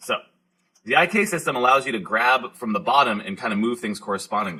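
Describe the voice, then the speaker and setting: Very fast and full of lively intonation, a man speaks in a bright, sharp tone. The recording is very clean, with a silent background. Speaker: high school teacher. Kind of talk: tutorial.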